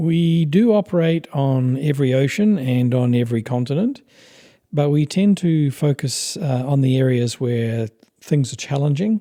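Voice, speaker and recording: A man with a New Zealand accent speaks at a moderate pace in a fairly high pitch with lively intonation. His tone is dark and mellow, with very even loudness. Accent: non-American, New Zealand. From New Zealand, with Papua New Guinea childhood. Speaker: expedition company founder. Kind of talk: interview.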